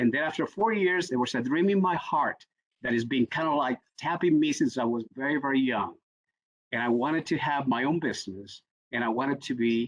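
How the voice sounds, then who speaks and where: A man with a Spanish accent, fairly high in pitch, in a dry, close sound with no echo. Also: lively intonation, moderate pace. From Puerto Rico. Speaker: executive coach. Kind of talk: panel discussion.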